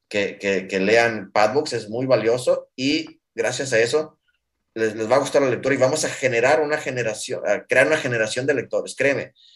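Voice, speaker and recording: This is a man speaking. His pitch is fairly high. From Mexico. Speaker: startup founder. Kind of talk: interview. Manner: fast; halting.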